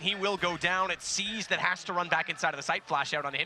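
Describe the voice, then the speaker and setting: The speaker is a man with noticeable background noise around him. He talks at a very fast pace. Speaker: esports caster. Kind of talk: live commentary. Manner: animated.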